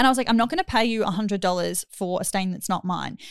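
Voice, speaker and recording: An animated, fairly quick delivery with ordinary pitch variation, in a dry, close sound with no echo and a very clean recording over a silent background. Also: woman. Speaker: podcast host. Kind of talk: casual chat.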